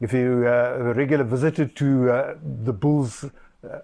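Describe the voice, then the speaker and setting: Over a quiet background, a man at a medium pitch talks with a dark, mellow tone and ordinary pitch variation. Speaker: rugby podcaster. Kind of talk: casual commentary monologue. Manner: halting, many fillers.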